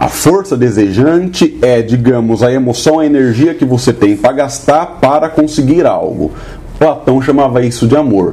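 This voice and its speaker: A man of medium pitch talks at a moderate pace with ordinary pitch variation. His loudness is very even, and there is noticeable background noise. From Brazil, São Paulo city. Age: 30s. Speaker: podcast host, teacher. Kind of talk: casual chat.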